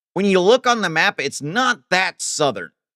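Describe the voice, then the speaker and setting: Speaking at a fairly slow pace with an American accent, the voice comes through on a very clean recording over a silent background. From Ohio, US Midwest. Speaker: livestreamer and graphic designer. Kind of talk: casual livestream chat reading viewer comments. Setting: home streaming setup.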